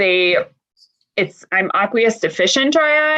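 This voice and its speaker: Using an unremarkable speaking voice, a woman speaks at a fairly slow pace with lively intonation. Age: 40s. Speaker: dry eye patient panelist. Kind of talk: casual panel chat.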